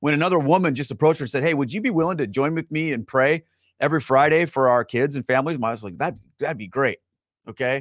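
A man talks at a very fast pace with ordinary pitch variation. The sound is dry, with no echo. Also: quiet background. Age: 40s. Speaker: livestream host. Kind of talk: live-streamed casual talk to viewers; casual livestream talk. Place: home room. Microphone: studio mic.

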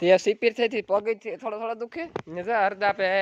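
A man's voice with ordinary pitch variation and a dry, close sound with no echo. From Gujarat, Saurashtra (Junagadh district). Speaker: dairy farmer vlogger. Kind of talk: casual vlog narration.

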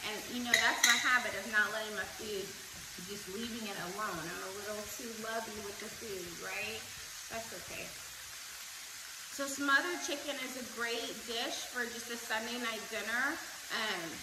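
A woman with ordinary pitch variation over loud background noise. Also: moderate pace. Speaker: home cook host. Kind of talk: cooking tutorial. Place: kitchen. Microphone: camera far.

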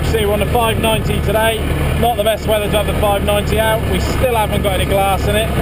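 Loud background noise under a fairly quick pace of speech. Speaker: farmer driving tractor. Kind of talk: casual vlog chat. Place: farm machine. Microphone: camera far.

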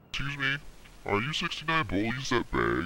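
Using a put-on character voice, a man talks at a medium pitch and a moderate pace with lively intonation. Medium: machinima. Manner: polite, formal.

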